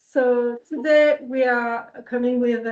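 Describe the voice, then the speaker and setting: A woman's high voice with a dark, mellow tone and a French accent, fairly even in intonation. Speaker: researcher. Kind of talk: conference presentation. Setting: workshop room with in-person and online audience. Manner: halting.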